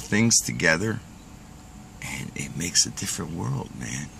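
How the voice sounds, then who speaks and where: A man's fairly low voice swings very widely in pitch. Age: 60s. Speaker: pipe smoking vlogger. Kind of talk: casual monologue rant. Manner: conversational, filler-heavy.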